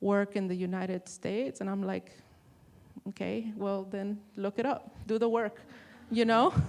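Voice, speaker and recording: With a Spanish accent, a woman speaks at a medium pitch in a monotone, flat intonation. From Texas, Rio Grande Valley. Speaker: artist and printmaking professor. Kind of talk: panel discussion.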